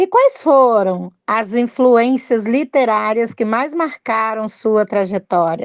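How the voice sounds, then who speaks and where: The room is quiet and the sound is dry and close with no echo. A woman speaks at a very slow pace. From Minas Gerais, Brazil. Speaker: podcast host, writer. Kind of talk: podcast interview.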